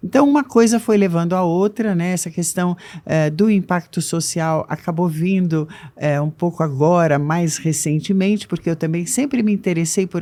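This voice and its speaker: At a fairly slow pace, a woman talks in a dark, mellow tone at a fairly low pitch with ordinary pitch variation, on a very clean recording with a silent background. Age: 60s. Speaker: age diversity consultant. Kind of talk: interview.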